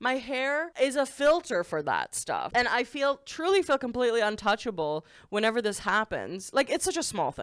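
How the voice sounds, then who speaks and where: A loud, animated woman's voice, high-pitched with very wide pitch swings and hardly any pauses, in a very clean recording with a silent background and a dry, close sound free of echo. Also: moderate pace. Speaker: content creator. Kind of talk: casual vlog monologue. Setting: at home.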